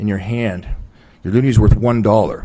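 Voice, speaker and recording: At a very fast pace, a man talks at a medium pitch with ordinary pitch variation. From Newfoundland and Labrador, Canada. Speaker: witness at a public inquiry. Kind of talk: testimony.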